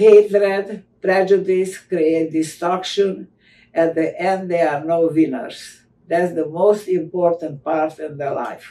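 Over light background noise, a woman speaks very slowly at a fairly low pitch with fairly even intonation. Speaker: Holocaust survivor and author. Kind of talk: interview answers, testimony. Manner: halting, slow. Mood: earnest, reflective. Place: home room. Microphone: video call.

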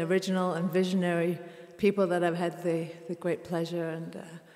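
A woman talks at a fairly quick pace. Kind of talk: stage introduction to audience. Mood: warm, smiling. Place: hall. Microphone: studio mic.

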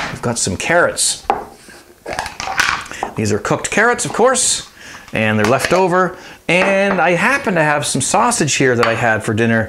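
Noticeable background noise sits under a man speaking at a moderate speed. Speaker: home cooking show host. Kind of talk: cooking tutorial. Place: kitchen. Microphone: lapel.

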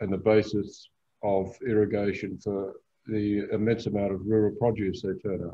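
A man's voice sits fairly low in pitch, moving at a moderate pace in a monotone, flat intonation. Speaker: author and boating traveller. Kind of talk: illustrated travel talk. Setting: video call. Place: home room. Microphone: video call.

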